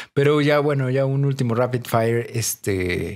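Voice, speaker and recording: A medium-pitched male voice with a Mexican accent. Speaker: podcast co-host. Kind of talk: casual chat.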